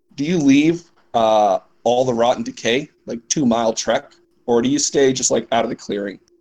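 The clip is plain reading aloud.

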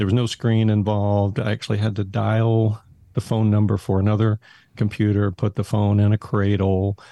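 Spoken in an American accent at a moderate pace, the voice has a dark, mellow tone, flat monotone intonation and very even loudness, with a dry, close sound, no echo and a quiet background. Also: man, fairly low pitch for a man. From Texas, Haltom City near Fort Worth. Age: 60s. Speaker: school technology director, former accountant. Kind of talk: casual interview.

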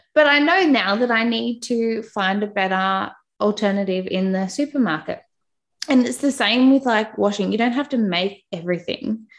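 An Australian-accented woman speaks with lively intonation at a fairly high pitch. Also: moderate pace. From Australia, Newcastle NSW. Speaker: podcast host and mother. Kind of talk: casual interview, personal testimony. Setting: remote call. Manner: warm, chatty.

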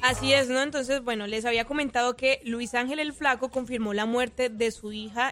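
Her intonation stays fairly even. This woman speaks at a high pitch. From Colombia. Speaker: social media news presenter. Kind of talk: entertainment news segment on morning radio.

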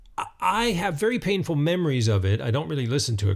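A man with an American accent talks at a very fast pace, his medium pitch somewhat breathy and marked by very wide pitch swings, on a very clean recording with a silent background. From North Carolina mountains. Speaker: musician and writer. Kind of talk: casual interview.

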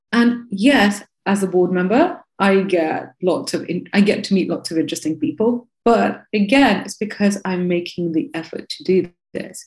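This woman has a medium pitch and lively intonation, sounding somewhat breathy. She speaks at a moderate pace. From Russia, Moscow. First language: Russian. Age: 30s. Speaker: tech educator and entrepreneur. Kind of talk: interview.

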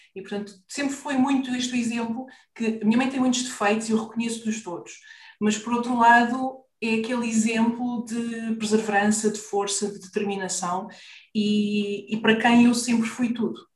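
With audible room echo, a somewhat breathy woman speaks at a moderate pace in a fairly high pitch and a flat, monotone intonation. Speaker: business mentor for therapists. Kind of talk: interview.

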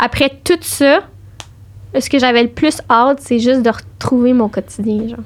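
A woman talks at a fairly slow pace with a high pitch. Her intonation stays fairly even. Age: 20s. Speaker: cancer patient. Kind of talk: personal testimony in casual interview.

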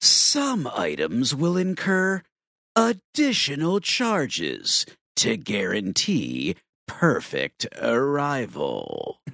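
A man's put-on character voice at a very slow pace, on a very clean recording with a silent background. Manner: sinister; suspicious.

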